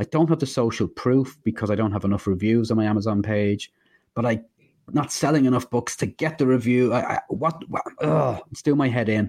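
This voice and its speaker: A man talks in an ordinary speaking voice, with ordinary pitch variation. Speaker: indie author and podcast co-host. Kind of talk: casual chat.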